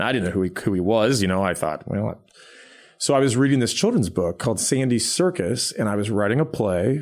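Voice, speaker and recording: A man with an unremarkable speaking voice at a medium pitch. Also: fairly quick pace. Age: 40s. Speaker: pianist and songwriter. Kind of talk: casual interview chat.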